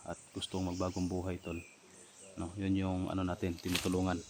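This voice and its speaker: A man speaks at a very deep, low pitch. His intonation is monotone and flat. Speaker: vlogger. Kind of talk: casual vlog talk.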